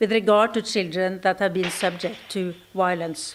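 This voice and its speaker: A woman with a Norwegian accent talks at a moderate pace with ordinary pitch variation, on a very clean recording with a silent background. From Norway. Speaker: ambassador. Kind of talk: conference speech. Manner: formal.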